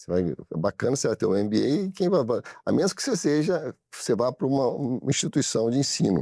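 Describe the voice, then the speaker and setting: Dark and mellow with vocal fry, a man's medium-pitched voice makes very wide pitch swings with hardly any pauses, in dry, close sound with no echo on a very clean recording with a silent background. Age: 60s. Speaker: business owner. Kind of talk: studio interview. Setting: studio. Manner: halting, many repetitions.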